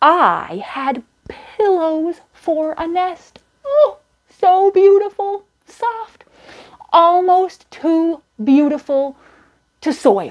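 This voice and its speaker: A woman uses a put-on character voice that is squeaky and extremely high in pitch, with lively intonation. She talks at a very slow pace with long, frequent pauses. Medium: read story. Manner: chatty, warm storytelling.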